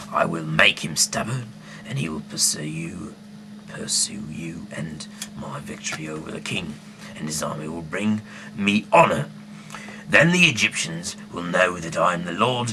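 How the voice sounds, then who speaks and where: A man puts on a character voice, speaking at a moderate pace in a very deep, low register, with clear background noise behind him. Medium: read story. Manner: authoritative.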